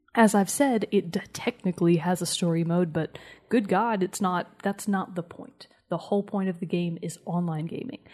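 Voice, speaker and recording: The woman's voice is somewhat breathy and sits at a medium pitch. She moves at a moderate pace with ordinary pitch variation. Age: 20s. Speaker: gaming podcast co-host. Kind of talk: casual chat.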